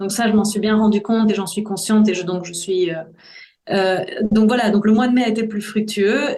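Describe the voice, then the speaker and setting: Somewhat breathy, a woman talks at a moderate pace with audible room echo. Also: fairly high pitch for a woman, fairly even intonation. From Brussels, Belgium. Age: 40s. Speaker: voice-over artist. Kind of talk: interview testimony. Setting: podcast.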